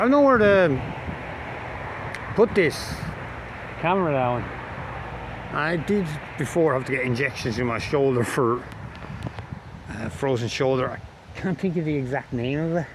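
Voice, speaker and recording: A man with an Irish accent speaks at a moderate pace and fairly high pitch, with lively intonation and long, frequent pauses. Audible room echo and noticeable background noise are present. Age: 40s. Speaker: amateur videographer. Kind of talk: casual vlog monologue. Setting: outdoors. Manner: halting.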